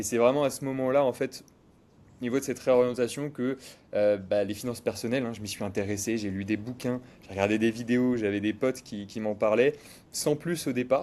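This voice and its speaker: In a very clean recording with a silent background, a man speaks at a fairly quick pace with a dark, mellow tone, medium pitch and fairly even intonation. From western France, Cholet (Pays de la Loire). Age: 20s. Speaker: financial advisor. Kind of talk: casual interview. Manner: hesitant, many fillers.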